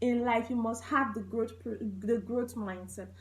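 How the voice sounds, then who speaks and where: A woman with a high voice speaks at a moderate speed. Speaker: goal setting strategist. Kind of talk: motivational talk. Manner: halting.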